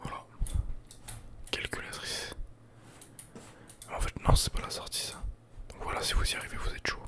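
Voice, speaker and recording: A man whispering amid noticeable background noise. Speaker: ASMR YouTuber and gamer. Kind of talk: casual gameplay commentary to camera.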